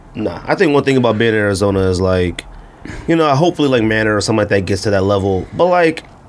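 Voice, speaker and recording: Lively intonation from a man, with noticeable background noise behind it. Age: 30s. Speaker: sneaker podcast co-host. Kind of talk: casual chat. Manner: animated.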